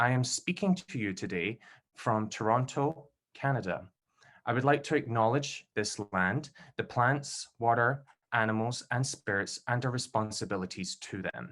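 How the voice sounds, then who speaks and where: Against a quiet background, a man speaks at a moderate pace with a Scottish accent and a medium pitch. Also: ordinary pitch variation. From Scotland, Glasgow. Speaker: PhD candidate and event host. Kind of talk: event introduction. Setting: video call.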